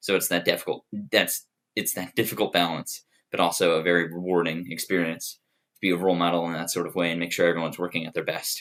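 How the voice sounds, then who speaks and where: A man speaks at a very fast pace. His voice is very deep and low. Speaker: student applying for resident assistant. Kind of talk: application video monologue.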